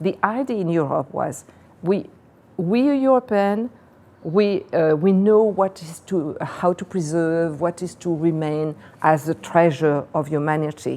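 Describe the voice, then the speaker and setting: A woman talks at a fairly slow pace, her voice fairly low in pitch with a dark, mellow tone. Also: lively intonation. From Réunion Island. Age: 70s. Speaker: activist and writer. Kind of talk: interview. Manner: halting, with self-corrections.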